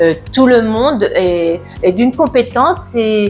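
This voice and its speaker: The intonation sounds lively. Behind it, music is playing. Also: woman. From France, Burgundy. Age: 70s. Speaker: dental patient. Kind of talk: testimonial interview answer. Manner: hesitant, many filler words.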